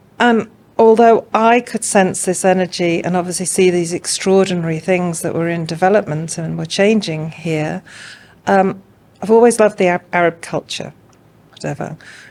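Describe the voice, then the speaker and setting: With a slight English accent, a woman speaks at a moderate pace and medium pitch with fairly even intonation. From England. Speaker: art curator and consultant. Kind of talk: podcast interview.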